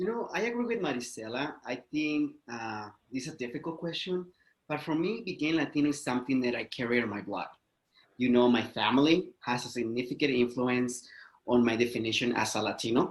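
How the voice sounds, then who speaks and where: A man speaks with a Spanish accent. His pace is fairly quick. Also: medium pitch for a man, ordinary pitch variation. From Mexico. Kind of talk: interview.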